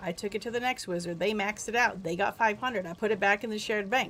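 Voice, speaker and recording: The speaker is a woman with a fairly high pitch. Her voice has ordinary pitch variation. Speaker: gaming streamer. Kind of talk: casual chat. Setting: live stream. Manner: loud; animated.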